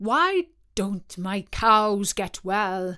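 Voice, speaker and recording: Putting on a character voice, a woman speaks at a medium pitch with ordinary pitch variation. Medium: read story.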